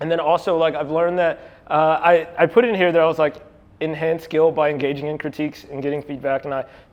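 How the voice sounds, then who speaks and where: Speaking at a very fast pace with an American accent, a man uses fairly even intonation and a fairly high pitch. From East Texas, Longview. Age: 20s. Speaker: artist. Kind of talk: artist talk to audience. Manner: casual, filler-heavy.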